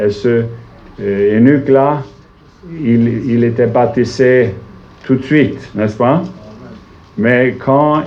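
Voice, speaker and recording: With a Swedish accent and medium pitch, a man speaks at a very slow pace amid noticeable background noise and audible room echo. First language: Swedish (speaking French). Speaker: visiting preacher. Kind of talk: sermon. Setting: church. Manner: halting, searching for words.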